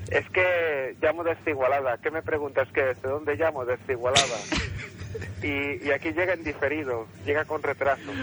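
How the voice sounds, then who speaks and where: Noticeable background noise sits behind a man whose fairly high pitch shows ordinary variation. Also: moderate pace. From Catalonia. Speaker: radio caller. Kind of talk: phone-in anecdote.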